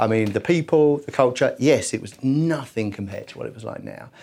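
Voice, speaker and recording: An English accent at a fairly quick pace, with ordinary pitch variation. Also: man. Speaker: entrepreneur in travel business development. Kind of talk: casual interview. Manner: hesitant, repeats words.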